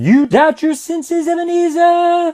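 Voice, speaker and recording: A man puts on a squeaky character voice at an extremely high pitch. He keeps to a moderate pace. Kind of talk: ghost story drama. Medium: solo performance. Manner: solemn, deliberate.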